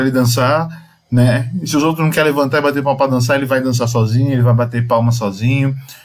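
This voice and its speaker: There is audible room echo as a man speaks. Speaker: Umbanda religious teacher. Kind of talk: lecture.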